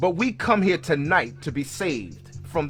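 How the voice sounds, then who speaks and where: Music plays in the background. A man with a fairly high pitch speaks with lively intonation. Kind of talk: biographical history narration.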